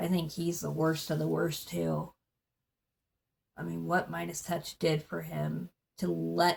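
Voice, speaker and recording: A woman mumbles as she speaks. Her pace is fairly slow. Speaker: political vlogger. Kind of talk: casual monologue. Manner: mumbling; animated.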